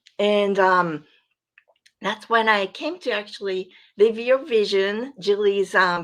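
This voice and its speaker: Here a woman speaks with a Japanese accent. She goes at a very slow pace. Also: very clean recording, silent background. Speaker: podcast guest, coaching graduate. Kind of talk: personal testimony.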